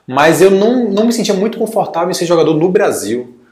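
At a fairly quick pace, the speech carries ordinary pitch variation, with audible room echo around it. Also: man. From Brazil, Salvador, Bahia. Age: 20s. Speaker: former student-athlete. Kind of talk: casual interview.

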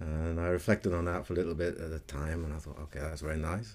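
A man talks in a dark, mellow tone. His intonation stays flat and monotone. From Britain. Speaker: musician and ceremony leader. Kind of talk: interview.

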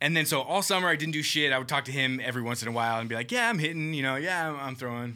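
With an American accent, a man talks at a very fast pace with hardly any pauses and ordinary pitch variation. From Southern California. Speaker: clothing industry marketer. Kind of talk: casual chat.

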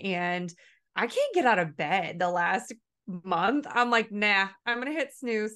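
Against a quiet background, a woman speaks at a medium pitch with lively intonation. Her tone is bright and sharp. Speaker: podcast host. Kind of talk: interview.

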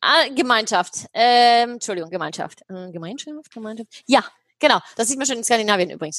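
With lively intonation and big swings in loudness, a woman speaks at a moderate pace in a fairly high pitch. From Germany, Heidelberg. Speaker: happiness researcher and speaker. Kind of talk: interview.

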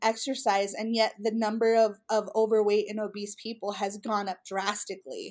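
In a very clean recording with a silent background, a woman with an American accent uses a plain, everyday voice, fairly high in pitch, at a moderate pace. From US West, Utah. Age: 30s. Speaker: women's ministry leader. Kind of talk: interview conversation.

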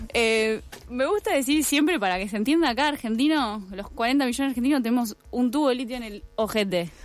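Against noticeable background noise, a woman with a high pitch and lively intonation talks at a fairly quick pace. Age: 20s. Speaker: environmental activist. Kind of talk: radio interview.

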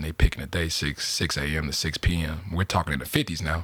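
A man with a very deep, low voice and a bright, sharp tone speaks with vocal fry on a very clean recording with a silent background. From Chicago, US Midwest. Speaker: media consultant and community developer. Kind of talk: interview.

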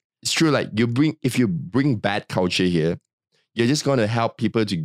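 The recording is very clean, with a silent background and a dry, close sound with no echo. A man speaks in a Malaysian accent. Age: 30s. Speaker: podcast co-host. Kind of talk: casual chat.

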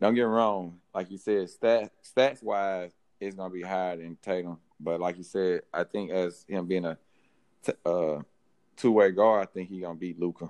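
A man with a Southern US accent and a very deep, low pitch, at a moderate pace with fairly even intonation, big swings in loudness and a dry, close sound with no echo. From Mississippi. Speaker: sports podcast panelist. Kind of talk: casual chat.

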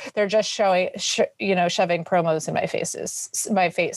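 At a moderate pace, a woman speaks in a normal speaking voice at a medium pitch, on a very clean recording with a silent background. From New York City. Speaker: fitness entrepreneur. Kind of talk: interview.

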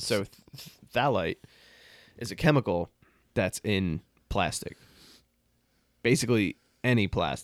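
A man speaks at a medium pitch and a fairly slow pace, with long, frequent pauses. The sound is dry and close, with no echo. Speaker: podcast co-host. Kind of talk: casual chat. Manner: animated.

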